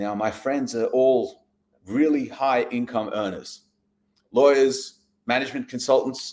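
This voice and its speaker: His intonation is fairly even. The man talks with an Australian accent. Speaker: real estate investor. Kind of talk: live stream presentation. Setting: livestream. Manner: casual, conversational.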